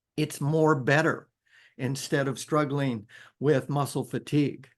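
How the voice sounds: Fairly slow and at a medium pitch, a man talks with fairly even intonation.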